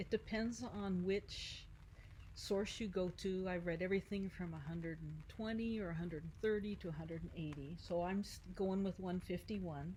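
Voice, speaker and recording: Somewhat breathy with a dark, mellow tone, a woman speaks at a medium pitch and moderate pace with fairly even intonation. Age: 60s. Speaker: Marine Corps veteran and paddleboarder. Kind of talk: interview.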